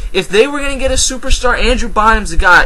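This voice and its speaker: A man's raised, projected voice in an American accent, with audible room echo and noticeable background noise. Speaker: sports commentator vlogger. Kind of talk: casual sports commentary vlog. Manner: fast; animated.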